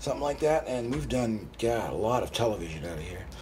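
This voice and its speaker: At a fairly quick pace, a man speaks with audible room echo around him. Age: 60s. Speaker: retiring broadcasting teacher, Vietnam veteran. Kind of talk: news interview. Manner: halting.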